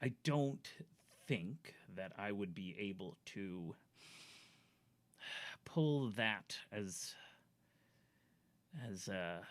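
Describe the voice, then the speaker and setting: The speaker uses a put-on character voice with a low pitch. The delivery is very slow, broken by long, frequent pauses. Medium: actual play.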